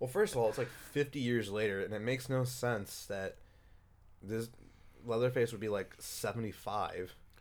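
Speaking with an ordinary speaking voice, a man keeps a medium pitch, fairly even intonation and a moderate pace. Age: 30s. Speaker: podcast host. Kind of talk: casual chat.

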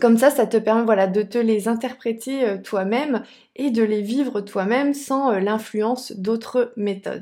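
On a very clean recording with a silent background, a woman speaks at a fairly slow pace. Her voice is fairly high, with fairly even intonation. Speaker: sophrologist and podcast host. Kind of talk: casual video monologue. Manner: slower, softer voice when guiding sessions.

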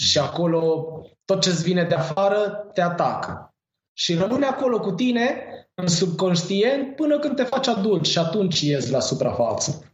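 Speaking at a moderate pace with very even loudness, a man with a high pitch makes very wide pitch swings, with audible room echo around him. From Romania, Târgoviște. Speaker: cannabis grower and seed shop owner. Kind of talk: casual chat.

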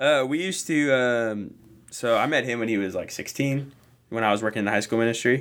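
An ordinary speaking voice, fairly quick, with ordinary pitch variation, on a very clean recording with a silent background. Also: man, medium pitch for a man. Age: 20s. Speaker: barista and church musician. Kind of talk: casual chat.

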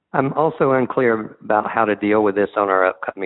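Here a man speaks with an American accent. His pace is moderate. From US Northeast. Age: 40s. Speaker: caller. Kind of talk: recorded voicemail question.

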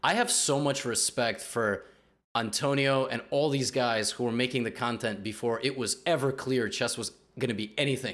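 With a New York accent, a man speaks at a medium pitch and a moderate pace. His pitch varies in an ordinary way. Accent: New York area American. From US Northeast, New Jersey. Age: 20s. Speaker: podcast host, chess YouTuber. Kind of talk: casual chat.

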